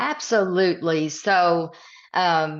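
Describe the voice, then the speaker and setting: A woman with a Southern US accent, fairly low in pitch, with fairly even intonation over a quiet background. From East Tennessee, Midwest roots. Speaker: author and leadership coach. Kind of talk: podcast interview.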